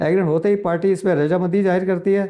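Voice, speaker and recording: This man has a high pitch and a dark, mellow tone. His intonation stays fairly even. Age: 70s. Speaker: real estate agent, retired banker. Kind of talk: informational talk to camera. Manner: conversational, repetitive fillers.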